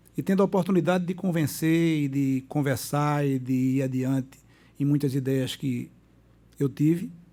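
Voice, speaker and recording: A man's fairly high voice, dark and mellow in tone, at a moderate pace with ordinary pitch variation. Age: 60s. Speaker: doctor and former city councillor. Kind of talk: casual interview. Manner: halting, repeats words.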